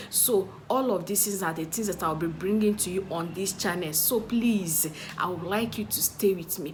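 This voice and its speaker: With audible room echo and noticeable background noise, a woman speaks at a medium pitch with ordinary pitch variation. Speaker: YouTuber and social media strategist. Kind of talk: casual vlog to camera.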